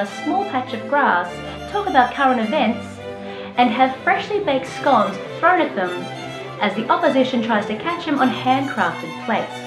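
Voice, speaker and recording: Clear music plays behind a woman who speaks at a moderate pace. Her high pitch makes very wide swings. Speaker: comedian. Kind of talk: comedic spoof explainer to camera. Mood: dry mock-serious humour. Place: home room.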